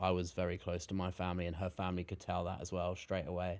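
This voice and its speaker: In a very clean recording with a silent background, a man with a very deep, low pitch speaks at a very fast pace in a monotone, flat intonation. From southern England, Brighton. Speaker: YouTuber. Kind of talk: podcast interview.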